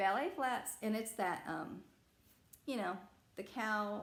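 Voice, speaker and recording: A woman speaks at a medium pitch and fairly slow pace. Her pitch varies in an ordinary way, with audible room echo. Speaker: reseller vlogger. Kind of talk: unboxing vlog. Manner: casual, hesitant with fillers.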